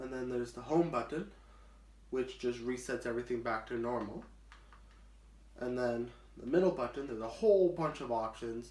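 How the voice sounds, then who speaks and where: A man at a medium pitch talks at a moderate pace with ordinary pitch variation and long, frequent pauses. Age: 20s. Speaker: blind vlogger. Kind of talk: casual product demo to camera.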